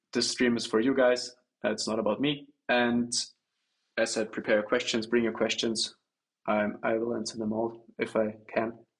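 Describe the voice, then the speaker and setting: Pausing long and often, a man with a German accent talks at a moderate pace in a medium pitch with a monotone, flat intonation. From Germany. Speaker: trader. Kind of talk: livestream Q&A. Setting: livestream. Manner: halting, many fillers.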